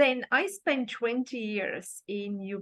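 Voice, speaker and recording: The pace is very slow, in a Bulgarian accent. The background is quiet. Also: woman. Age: 50s. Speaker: life coach. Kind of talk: interview.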